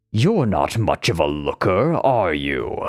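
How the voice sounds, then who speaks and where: A man does a raspy, growling put-on character voice at a fairly low pitch and a fairly slow pace. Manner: mocking, sardonic.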